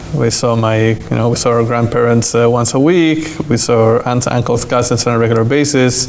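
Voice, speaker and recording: Slight Argentine accent, fairly even intonation and a moderate pace, amid audible room echo and noticeable background noise. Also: man. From Argentina, Buenos Aires. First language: Spanish. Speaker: rabbi. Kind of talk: interview.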